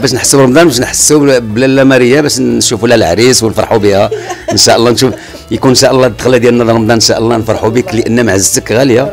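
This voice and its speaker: Over clear music in the background, a man speaks at a very fast pace with very even loudness. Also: ordinary pitch variation. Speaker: guest. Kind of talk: interview answer. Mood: cheerful, warm, laughing. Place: home room. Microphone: handheld.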